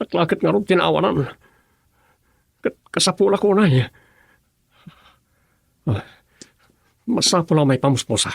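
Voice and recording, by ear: Using a put-on character voice with vocal fry, the speaker goes at a fairly slow pace with lively intonation and long, frequent pauses. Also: man, fairly high pitch for a man.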